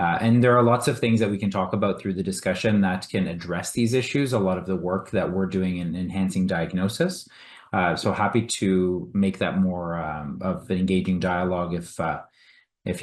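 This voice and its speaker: A man with a Canadian accent talks at a moderate pace with a very deep, low pitch against a quiet background. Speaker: physician, endometriosis specialist. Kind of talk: panel discussion. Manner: hesitant, many fillers.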